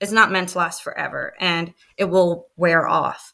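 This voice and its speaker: This woman has a bright, sharp tone and an American accent, speaking at a fairly slow pace in a monotone, flat delivery. The recording is very clean, with a silent background. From El Paso, Texas. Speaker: military spouse and mother. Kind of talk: casual interview about birth stories. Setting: podcast recording.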